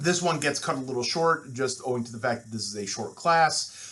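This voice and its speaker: A man with a Midwestern accent, medium-pitched, at a fairly quick pace and with ordinary pitch variation, plus audible room echo. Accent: nasal Midwestern. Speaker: university instructor. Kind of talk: lecture. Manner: fast.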